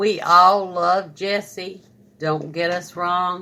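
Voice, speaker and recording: A woman speaks at a very slow pace with fairly even intonation. Her fairly low voice has a bright, sharp tone. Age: 60s. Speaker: family member. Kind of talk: casual discussion.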